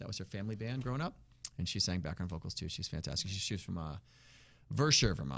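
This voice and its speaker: Talking at a very fast pace, a man with an American accent has a fairly low pitch. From Massachusetts (Worcester); Massachusetts. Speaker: blues musician; guest. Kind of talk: interview. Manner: energetic. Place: studio. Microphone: studio mic.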